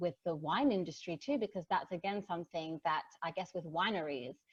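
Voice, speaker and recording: An Australian accent with ordinary pitch variation. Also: woman. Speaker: digital marketer. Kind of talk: casual chat.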